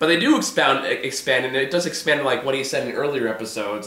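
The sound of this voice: A bright, sharp tone comes through at a moderate pace amid strong room echo. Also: man.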